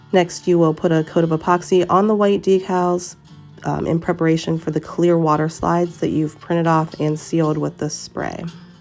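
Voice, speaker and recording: Moderate pace over music playing in the background. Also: woman. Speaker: tumbler crafter. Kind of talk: tutorial voice-over. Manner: casual, with many filler sounds.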